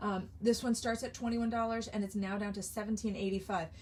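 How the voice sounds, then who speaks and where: This is a woman speaking. Vocal fry runs through her voice. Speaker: craft product demonstrator. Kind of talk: live sales stream. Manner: animated.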